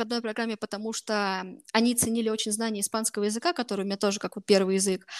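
In a dry, close recording with no echo, a woman talks very fast. Her pitch is fairly high and her intonation fairly even. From Russia, Voronezh. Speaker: master's student. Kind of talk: interview. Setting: video call.

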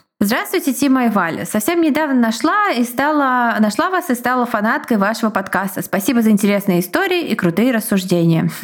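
A woman with a fairly high voice swings very widely in pitch while her loudness stays very even. Noticeable background noise runs underneath. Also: fairly quick pace, hardly any pauses. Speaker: podcast co-host. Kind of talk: casual chat and reading listener stories aloud. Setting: home recording.

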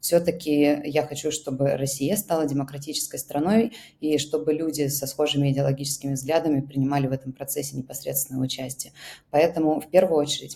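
Somewhat breathy and dark, mellow in tone, a woman speaks at a fairly quick pace with a very deep, low pitch and fairly even intonation. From Russia. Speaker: founder of an emigrant aid project. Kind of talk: interview.

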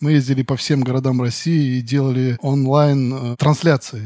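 In a dry, close recording with no echo, a man talks fairly slowly in a medium pitch with fairly even intonation, a normal speaking voice. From Western Siberia. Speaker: animator. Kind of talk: casual interview.

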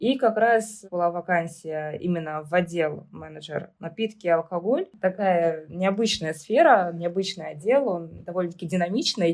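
Speaking at a moderate pace with hardly any pauses, a woman with an unremarkable speaking voice has a fairly low pitch and ordinary pitch variation. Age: 20s. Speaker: hypermarket department manager. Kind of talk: interview.

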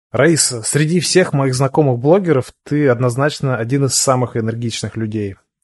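Speaking at a moderate pace in a calm tone, a man uses a medium pitch with ordinary variation over a quiet background. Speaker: podcast host, SEO expert. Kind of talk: interview. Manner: calm, quiet listener.

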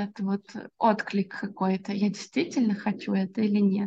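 Somewhat breathy, a woman speaks at a fairly high pitch with a dark, mellow tone. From Russia, Orenburg. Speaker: SMM specialist. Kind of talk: podcast interview. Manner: hesitant with filler words.

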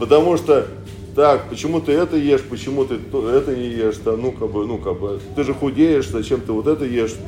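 With audible room echo and noticeable background noise, a man speaks at a medium pitch and a fairly quick pace, with ordinary pitch variation. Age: 40s. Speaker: pastor. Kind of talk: sermon. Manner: halting.

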